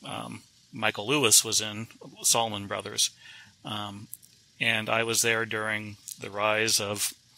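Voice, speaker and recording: Someone with an American accent speaks at a fairly slow pace, leaving long, frequent pauses. The intonation is monotone and flat, and background noise is noticeable. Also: man, fairly low pitch for a man. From US South. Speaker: author and photojournalist. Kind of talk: interview. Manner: halting, many fillers.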